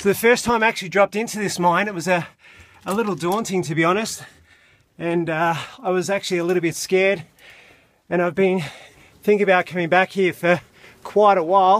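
Against a quiet background, a man talks at a fairly quick pace in a high pitch, his intonation fairly even and the sound dry with no echo. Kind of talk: casual vlog commentary. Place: tunnel cave. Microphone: phone near.

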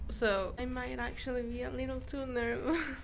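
Noticeable background noise runs through the clip. A woman is talking. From Mexico. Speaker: wedding photographer. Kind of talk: casual vlog talk to camera. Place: home room. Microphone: phone near.

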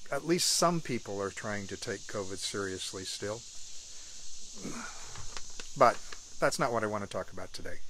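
Captured dry with no echo over light background noise, a man talks with ordinary pitch variation. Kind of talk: casual vlog chat. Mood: warm, relaxed. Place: garden. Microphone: phone near.

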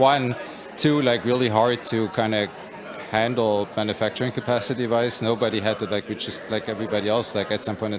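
Very fast speech in a German accent, with fairly even intonation and crowd noise in the background. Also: man. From Germany. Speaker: company executive. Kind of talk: interview. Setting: puzzle competition event. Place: hall.

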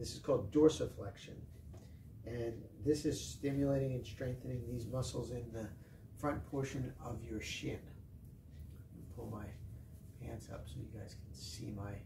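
With noticeable background noise behind him, a man speaks at a moderate pace with ordinary pitch variation, big swings in loudness and long, frequent pauses. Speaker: fitness instructor. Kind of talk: tutorial. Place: gym. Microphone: camera far.

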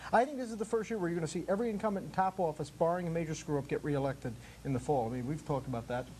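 Very fast speech with an American accent over light background noise. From Connecticut. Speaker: talk show co-host. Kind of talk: panel discussion. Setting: studio. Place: studio. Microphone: lapel.

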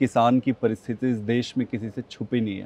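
A man's voice at a fairly slow pace, the sound dry with no echo. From India, Chhattisgarh (village near Bilaspur); Chhattisgarh, India. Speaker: politician; interview guest, politician. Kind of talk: interview; interview answer. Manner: hesitant, frequent filler sounds. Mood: calm, reflective. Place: garden.

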